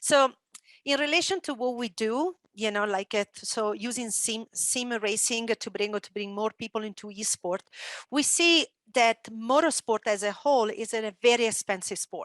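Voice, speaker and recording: A woman with an Italian accent speaks at a moderate pace with a fairly high pitch and ordinary pitch variation. The sound is dry and close with no echo, and the background is quiet. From Italy. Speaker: esports entrepreneur and former motocross champion. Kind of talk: panel discussion.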